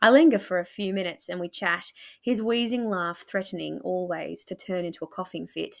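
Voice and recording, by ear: A natural voice reading aloud, pitch varying in an ordinary way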